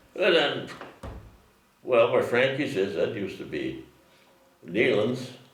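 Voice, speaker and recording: A man with an American accent talks at a fairly slow pace. Long, frequent pauses break up his speech over noticeable background noise. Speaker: farmer, county highway worker, army veteran. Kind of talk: oral history interview answer.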